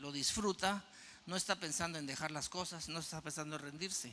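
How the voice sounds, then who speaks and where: This man's voice sits at a high pitch. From Guatemala. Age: 60s. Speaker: mountaineer and motivational speaker. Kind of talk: audience Q&A; keynote talk.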